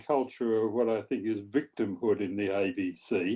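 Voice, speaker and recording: A man with a dark, mellow tone speaks at a moderate pace with lively intonation. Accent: Australian. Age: 80s+. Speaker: retired journalist. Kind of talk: audience question in panel discussion. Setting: video call.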